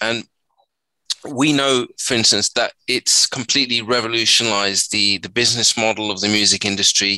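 An unremarkable speaking voice at a moderate pace, with a dry, close sound and no echo. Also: man, medium pitch for a man. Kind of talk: radio DJ patter: polished, scripted-sounding show intro and segment link with sign-off. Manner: smooth, upbeat and welcoming, with a warm, well-rehearsed broadcaster cadence.

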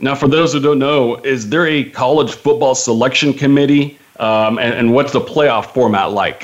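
An ordinary speaking voice from a man, fairly high in pitch, at a moderate pace with hardly any pauses, very even loudness and fairly even intonation. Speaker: radio host. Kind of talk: sports talk radio interview.

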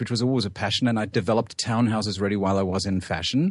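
This man talks at a very fast pace. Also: quiet background. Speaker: real estate executive. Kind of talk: radio interview. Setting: studio.

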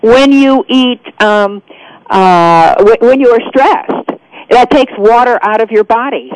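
Dry and close with no echo, a woman's fairly high voice proceeds at a fairly slow pace with very even loudness and ordinary pitch variation. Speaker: eye doctor. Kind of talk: radio interview. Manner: halting, many fillers.

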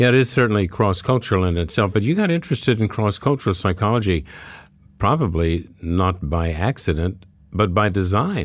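In a plain, everyday voice, a man speaks at a fairly low pitch with lively intonation and very even loudness. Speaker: radio host, psychologist. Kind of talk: interview.

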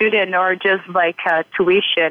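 A woman with a Brazilian accent speaks at a very slow pace. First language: Portuguese. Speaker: university student, intern.

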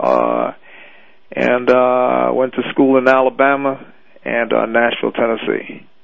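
Over noticeable background noise, a man talks at a fairly slow pace, with long, frequent pauses. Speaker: fitness trainer. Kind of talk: casual chat. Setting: phone call.

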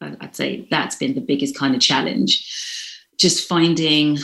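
A woman talks with a London accent. She speaks at a fairly slow pace. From London, England. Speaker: vegan chef. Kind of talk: interview.

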